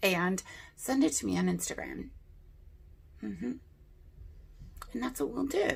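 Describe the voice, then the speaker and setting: A woman at a fairly slow pace with long, frequent pauses. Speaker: beauty youtuber. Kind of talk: casual chat. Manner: chatty.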